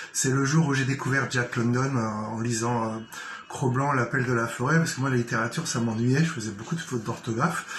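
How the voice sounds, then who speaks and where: Noticeable background noise surrounds this man's voice. The room echo is audible as well. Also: medium pitch for a man, fairly even intonation, fairly quick pace. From Paris region, Seine-Saint-Denis. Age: 50s. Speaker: writer and journalist. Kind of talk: self-presentation monologue. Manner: hesitant, many fillers.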